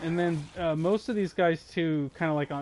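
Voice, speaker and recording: A man's voice moves at a moderate speed, its pitch varying in an ordinary way. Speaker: gaming streamer. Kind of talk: live gameplay commentary. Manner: halting, repeats words.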